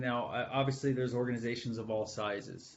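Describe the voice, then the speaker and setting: A man talks at a moderate pace with fairly even intonation, and audible room echo hangs around his speech. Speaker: IT supervisor giving presentation. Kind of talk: webinar presentation.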